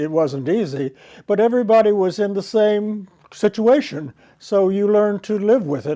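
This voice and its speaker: A dark, mellow voice with an American accent and lively intonation at a moderate pace. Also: man, quiet background. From US South, Alabama (Birmingham area). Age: 90s. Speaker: war veteran, former singer. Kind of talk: interview testimony. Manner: halting.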